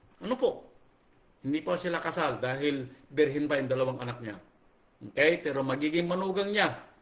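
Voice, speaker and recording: A man's fairly quick speech, varying in pitch in an ordinary way, comes through room echo you can hear and clear background noise. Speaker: pastor. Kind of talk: sermon. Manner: animated, raising voice.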